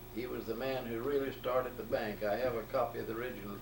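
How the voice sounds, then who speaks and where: A man with an Alabama accent speaks at a medium pitch. There is audible room echo and noticeable background noise. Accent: Southern US, Alabama. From US South, Alabama Gulf Coast. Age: 80s+. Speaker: retired banker. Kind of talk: oral history interview.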